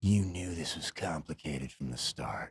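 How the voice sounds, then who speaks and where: In a put-on character voice, the speaker talks at a moderate pace with a very deep, low pitch. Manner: menacing, dramatic.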